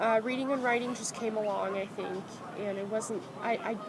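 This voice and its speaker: Amid noticeable background noise and audible room echo, a woman speaks at a moderate pace in a fairly high pitch with monotone, flat intonation. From France, Rouen area, moved to US at about seven. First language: French. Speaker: student interviewee. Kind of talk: casual interview.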